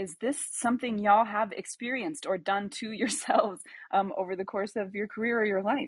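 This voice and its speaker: At a fairly quick pace, a woman talks in an unremarkable speaking voice, fairly high in pitch with ordinary pitch variation. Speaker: discussion moderator for a creative community. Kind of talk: live audio room group discussion. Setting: live audio app room.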